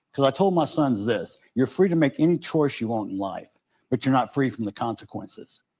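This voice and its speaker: Over a quiet background, a man talks at a fairly quick pace and a medium pitch, with lively intonation and a dark, mellow tone. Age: 60s. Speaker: victim's father. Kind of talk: interview. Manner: halting.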